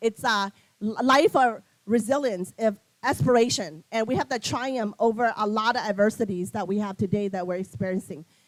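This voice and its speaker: Fairly high-pitched woman at a moderate pace, lively in intonation, on a very clean recording with a silent background. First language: not English. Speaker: nonprofit CEO, keynote speaker. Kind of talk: keynote speech. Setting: luncheon event with audience.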